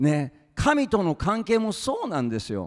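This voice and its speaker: A man with an animated tone and very wide pitch swings, at a fairly slow pace against a quiet background. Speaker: preacher. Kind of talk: sermon. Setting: stage with audience. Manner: informal. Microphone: handheld.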